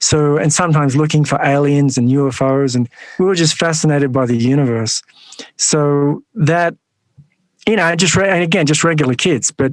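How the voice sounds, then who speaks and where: Speaking with an Australian accent, a man has a fairly high pitch and ordinary pitch variation. His loudness stays very even at a moderate pace. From Australia, western Sydney. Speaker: monk and nonprofit founder. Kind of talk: interview.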